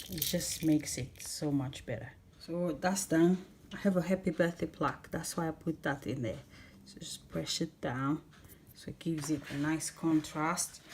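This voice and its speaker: This woman has a non-native accent and a very deep, low pitch, somewhat breathy, with ordinary pitch variation. She keeps a moderate pace while her loudness swings widely. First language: not English. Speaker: home baking channel host. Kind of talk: tutorial. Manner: casual, chatty.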